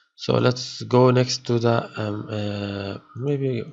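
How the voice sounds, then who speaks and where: A man at a medium pitch speaks with fairly even intonation. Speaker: 3D effects tutorial instructor. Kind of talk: software tutorial. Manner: halting, many fillers and repetitions.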